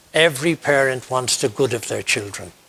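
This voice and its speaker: A man with an Irish accent, medium-pitched, at a moderate pace. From Ireland. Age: 60s. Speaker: priest and university chaplain. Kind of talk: interview.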